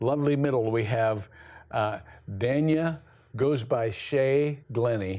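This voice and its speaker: A man talks at a fairly slow pace and medium pitch. His tone is dark and mellow, with lively intonation. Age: 70s. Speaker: talk show host. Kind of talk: panel discussion. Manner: halting, many fillers.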